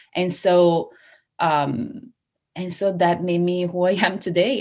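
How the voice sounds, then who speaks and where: A woman with an Italian accent, speaking at a fairly slow pace in a fairly low pitch. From Italy, Treviso. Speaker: hypnotherapist and success coach. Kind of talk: casual interview chat. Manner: animated.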